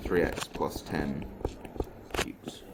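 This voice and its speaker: A man's voice amid noticeable background noise. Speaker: maths teacher. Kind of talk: lesson. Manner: casual.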